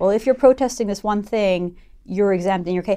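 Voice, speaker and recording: A woman talks at a very fast pace with a western Canadian accent. Her tone is dark and mellow, with ordinary pitch variation. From Vancouver, western Canada. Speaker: interviewer. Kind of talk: interview.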